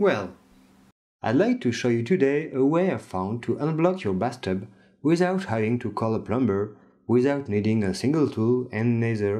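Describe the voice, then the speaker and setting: A man in a French accent, dark and mellow in tone, medium-pitched, with lively intonation at a moderate pace against a quiet background. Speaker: DIY tips video maker. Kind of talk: tutorial.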